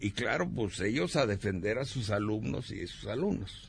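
Vocal fry runs through a man's voice as he speaks at a fairly slow pace. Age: 70s. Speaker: former student activist and journalist. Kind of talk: radio interview.

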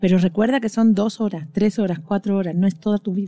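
A woman speaks with an Andalusian accent in a dark, mellow tone at medium pitch. Her pace is fairly quick and her pitch variation ordinary. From Andalusia, Spain. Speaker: coach. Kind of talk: casual chat. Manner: animated.

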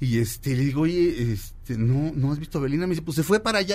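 Pitch swinging very widely, a man speaks at a very fast pace. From Mexico. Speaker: radio host. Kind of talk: casual chat. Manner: animated.

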